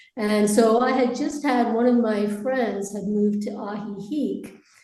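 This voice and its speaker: A woman with an American accent, fairly high pitch and fairly even intonation, plus audible room echo and noticeable background noise. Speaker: expat interviewee. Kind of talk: interview.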